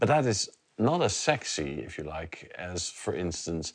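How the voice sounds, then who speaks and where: A man is speaking. His pitch is very deep and low. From non-US country with little sun. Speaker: interviewer. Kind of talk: interview. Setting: at the guest's home.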